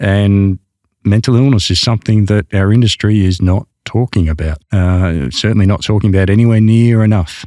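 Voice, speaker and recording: With an Australian accent, a man speaks at a moderate pace in a fairly low pitch with ordinary pitch variation, his tone dark and mellow, his loudness very even, and the sound dry and close with no echo in a very clean recording with a silent background. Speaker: helicopter pilot and mental health advocate. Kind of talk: interview conversation. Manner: hesitant, with fillers and repetitions.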